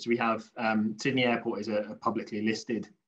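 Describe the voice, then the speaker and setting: A man speaks at a medium pitch. He has a British accent. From UK. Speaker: infrastructure industry panelist. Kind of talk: panel discussion.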